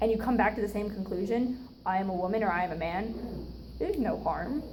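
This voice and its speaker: Audible room echo follows a woman who talks at a fairly quick pace. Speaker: student club officer giving educational talk. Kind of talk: informal educational talk. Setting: room with live audience. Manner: casual, filler-heavy.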